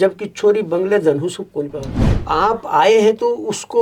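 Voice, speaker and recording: A man with a high-pitched voice talks through noticeable background noise. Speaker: retired teacher and school principal. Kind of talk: interview.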